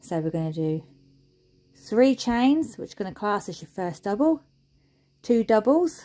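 Her tone is dark and mellow. The woman speaks at a fairly slow pace with big pitch swings. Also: medium pitch for a woman.

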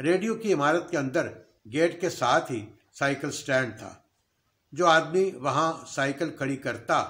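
This man's voice is fairly high in pitch, with a bright, sharp tone and ordinary pitch variation. He talks at a fairly slow pace with long, frequent pauses against a quiet background. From Pakistan, Lahore; Pakistan. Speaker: YouTube storyteller, former radio staffer. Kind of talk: storytelling narration. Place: home room. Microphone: webcam.

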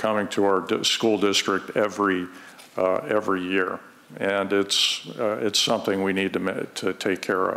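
The man talks at a fairly slow pace. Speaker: school district administrator; public speaker. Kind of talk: public meeting testimony. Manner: halting. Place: hall. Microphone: podium.

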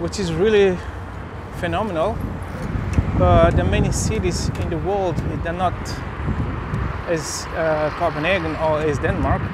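Against loud background noise, a man speaks at a fairly slow pace in a dry sound with no echo. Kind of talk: casual vlog commentary. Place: bicycle. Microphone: phone near.

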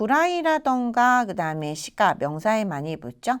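In a very clean recording with a silent background, a woman talks. Her pitch swings very widely. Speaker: Japanese language instructor. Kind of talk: lecture.

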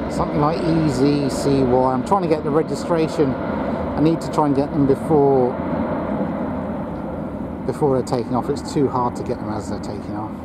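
A man at a moderate pace with ordinary pitch variation, in a dry sound with no echo, over loud background noise. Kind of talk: casual commentary. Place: open country. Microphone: phone near.

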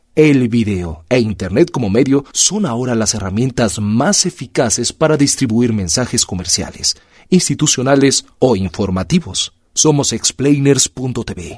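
This is a plain, everyday voice with lively intonation at a fairly slow pace. The sound is dry and close, with no echo. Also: man, medium pitch for a man. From Mexico. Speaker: voice-over artist. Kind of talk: scripted narration. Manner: formal.

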